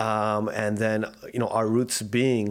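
A man's fairly low voice with a Canadian accent and monotone, flat intonation. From South Vancouver, Canada. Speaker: digital media entrepreneur. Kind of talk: casual interview. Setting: studio.

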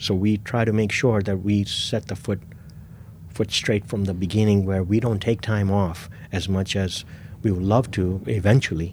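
A man speaks at a fairly low pitch, somewhat breathy. His intonation stays fairly even. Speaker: sneaker store owner. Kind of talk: casual interview.

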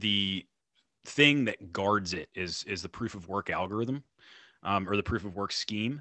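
With an unremarkable speaking voice, a man talks at a fairly low pitch and a fairly slow pace with ordinary pitch variation. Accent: American. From North Carolina. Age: 30s. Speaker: liberty podcaster. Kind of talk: casual interview chat.

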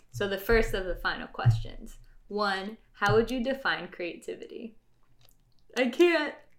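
Fairly slow and high-pitched, a woman with an unremarkable speaking voice speaks with lively intonation. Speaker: podcast host. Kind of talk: casual interview.

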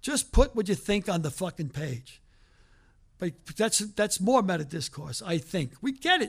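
Here a man speaks at a high pitch. His pitch swings very widely. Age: 70s. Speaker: writing teacher and comedian. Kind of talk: lecture. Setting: stage with audience.

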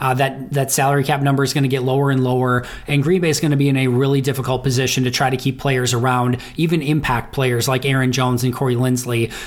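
Very fast delivery at a very even loudness. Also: man. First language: English (speaking German). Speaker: NFL analyst. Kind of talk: recorded commentary.

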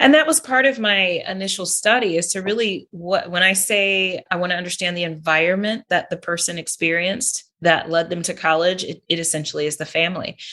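A bright, sharp tone at a fairly quick pace, with ordinary pitch variation. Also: woman, medium pitch for a woman. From California. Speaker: professor and coach. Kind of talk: interview conversation.

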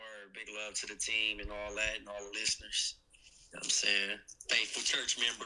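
A man speaks at a moderate pace in a bright, sharp tone, his intonation monotone and flat but his loudness swinging widely. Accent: American. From Compton, Los Angeles, US West Coast. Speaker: podcaster, call-in guest. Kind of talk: casual chat.

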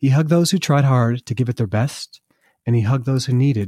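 A man with an American accent speaks at a fairly quick pace and medium pitch, his tone warm, gentle, dark and mellow, somewhat breathy, with ordinary pitch variation. The very clean recording has a silent background and a dry, close sound with no echo. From US Northeast, Vermont. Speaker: artist and children's book author. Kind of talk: children's story reading aloud, rhyming picture-book verse. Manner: rhythmic sing-song rhyming cadence; warm, gentle storyteller delivery.

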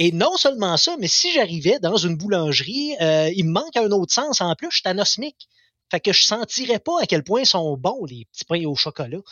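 Swinging very widely in pitch, a man talks in a high voice. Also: moderate pace. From Quebec, Abitibi. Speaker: community radio host. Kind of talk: casual chat. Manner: halting, repeats words.

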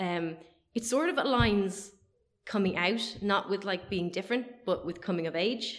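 A woman's plain, everyday voice at medium pitch, lively in intonation, at a moderate pace. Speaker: film podcast host. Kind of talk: casual chat.

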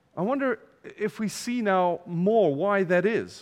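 A man with a non-native accent speaks at a high pitch for a man. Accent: noticeable foreign. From from abroad, outside the UK. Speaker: visiting pastor. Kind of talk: sermon. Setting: church.

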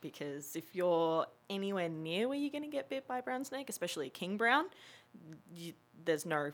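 A woman with an Australian accent speaks at a fairly low pitch and a moderate pace. Her pitch swings very widely, on a very clean recording with a silent background. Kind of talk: casual chat.

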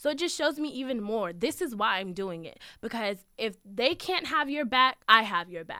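A woman with an American accent talks at a moderate pace with hardly any pauses. Her bright, sharp tone carries very wide pitch swings and big swings in loudness. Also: fairly high pitch for a woman. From Manassas Park, Virginia. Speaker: university student fellow. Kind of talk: interview.

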